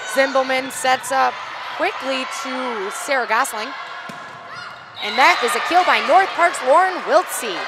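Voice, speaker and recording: Against noticeable background noise and audible room echo, a woman with a high pitch raises and projects her voice, moving at a fairly slow pace with ordinary pitch variation and long, frequent pauses. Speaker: volleyball play-by-play commentator. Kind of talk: live commentary. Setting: courtside at a college fieldhouse with headsets. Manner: loud when play escalates; animated.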